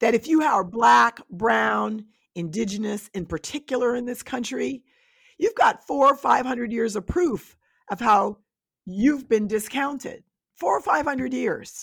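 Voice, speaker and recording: A woman with a normal speaking voice talks at a fairly slow pace and a fairly high pitch. Her intonation is lively, and the recording is very clean with a silent background. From Westchester County, New York. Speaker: scholar. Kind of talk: interview.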